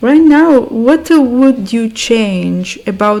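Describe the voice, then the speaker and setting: A woman with an Italian accent speaks at a very slow pace in a fairly high voice with lively intonation, against noticeable background noise. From Italy. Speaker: podcast host. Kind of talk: podcast interview.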